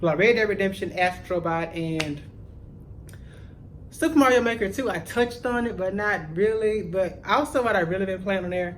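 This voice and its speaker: Heard with audible room echo, a man speaks at a moderate pace in a high pitch, with an animated tone and lively intonation. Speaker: gaming YouTuber. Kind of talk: casual vlog chat.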